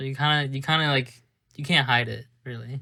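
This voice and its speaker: On a very clean recording with total silence behind him, a man speaks at a medium pitch with a bright, sharp tone. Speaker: podcast co-host. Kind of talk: casual chat. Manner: loud.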